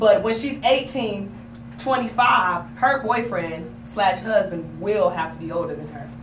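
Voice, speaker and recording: Amid noticeable background noise and audible room echo, a woman with a medium pitch talks at a fairly slow pace in an animated tone, with very wide pitch swings and big swings in loudness. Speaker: talk show host. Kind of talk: casual chat.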